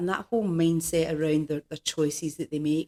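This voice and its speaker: A woman's fairly low, dark, mellow voice with a Scottish accent and a dry, close sound with no echo. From Scotland, Glasgow. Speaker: executive coach. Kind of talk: podcast interview.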